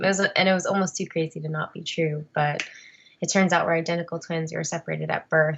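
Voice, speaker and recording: A woman's normal speaking voice with an American accent, at a fairly quick pace with fairly even intonation. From US Northeast (New Jersey). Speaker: adoptee and actress. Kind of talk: interview. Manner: casual, conversational.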